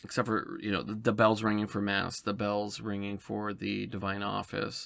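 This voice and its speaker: The man's pitch is fairly low. He keeps to a moderate pace. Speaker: podcast host. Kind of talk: casual podcast monologue. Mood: calm, reflective. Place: home room.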